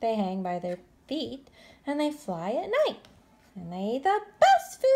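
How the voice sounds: The passage is delivered in a natural reading voice.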